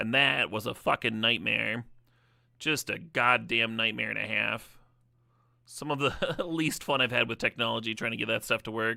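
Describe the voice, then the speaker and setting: A man speaks at a moderate pace and medium pitch, with ordinary pitch variation and vocal fry. His tone is bright and sharp, on a very clean recording with a silent background. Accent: American. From Wisconsin.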